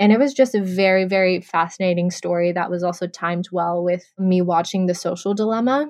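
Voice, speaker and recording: A woman talks at a fairly quick pace with hardly any pauses, in a plain, everyday voice. Her pitch is medium with ordinary pitch variation. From Texas. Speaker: podcast co-host. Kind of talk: casual chat.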